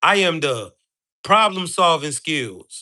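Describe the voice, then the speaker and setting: Over a quiet background, a man speaks in an animated, bright, sharp tone with a raised, projected voice. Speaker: live streamer and spiritual speaker. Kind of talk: motivational livestream talk. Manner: loud.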